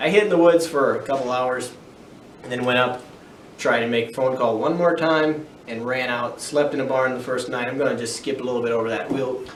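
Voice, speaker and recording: Audible room echo colors a man's speech. There is also noticeable background noise. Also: medium pitch for a man, ordinary pitch variation, fairly quick pace. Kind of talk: personal testimony vlog. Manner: halting.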